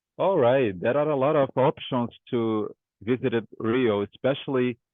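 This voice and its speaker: A man with a Portuguese accent at a fairly slow pace. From Brazil, Rio de Janeiro. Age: 20s. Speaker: English student. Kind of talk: language lesson conversation. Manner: halting.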